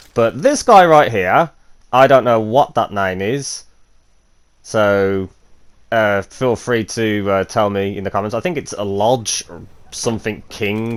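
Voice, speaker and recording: A man talks in a normal speaking voice, fairly low in pitch with ordinary pitch variation, at a fairly slow pace, and his loudness swings widely. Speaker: gaming youtuber. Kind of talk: gameplay commentary. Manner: casual with many fillers.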